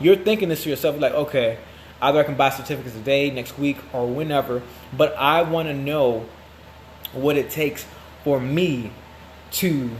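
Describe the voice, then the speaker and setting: A man talks at a fairly quick pace, his fairly high pitch held in fairly even intonation. Noticeable background noise runs underneath. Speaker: marketing agency founder. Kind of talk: promotional monologue. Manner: fast.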